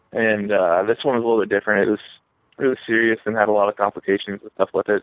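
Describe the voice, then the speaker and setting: A man with a Midwestern US accent and a fairly low pitch. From Northeast Ohio. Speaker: RC car racer. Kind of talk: casual interview.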